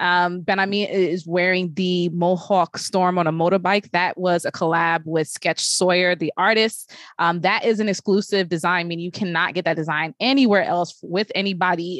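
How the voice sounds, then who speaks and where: A woman with an American accent uses a normal speaking voice, fairly low in pitch with fairly even intonation, at a moderate pace, recorded dry and close with no echo against a quiet background. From Brooklyn, New York. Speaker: podcast host and tech journalist. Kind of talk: casual chat.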